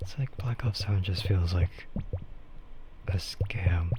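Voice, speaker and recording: With noticeable background noise behind him, a man speaks very slowly in a relaxed tone, with a fairly low pitch and fairly even intonation. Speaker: streamer. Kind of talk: casual talk to camera. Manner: slow, relaxed, rambling.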